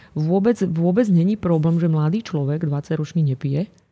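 At a moderate pace, a woman speaks in a very deep, low pitch with a dark, mellow tone and ordinary pitch variation, the sound dry and close with no echo over a quiet background. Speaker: nutrition expert. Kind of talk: interview.

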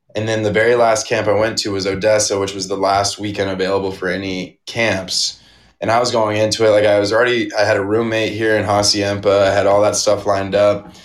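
Audible room echo surrounds a man with an American accent and a fairly low pitch. He talks at a fairly quick pace with monotone, flat intonation. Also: hardly any pauses. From Arizona. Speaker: college hockey player. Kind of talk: interview.

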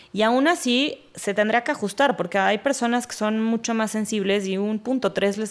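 At a moderate pace, a woman with a Mexico City accent speaks at medium pitch with ordinary pitch variation. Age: 30s. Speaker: chef. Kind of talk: casual chat.

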